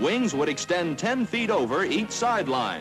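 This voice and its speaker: Very wide pitch swings over clear music in the background. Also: man. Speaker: newsreel narrator. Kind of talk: newsreel narration. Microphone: old recording.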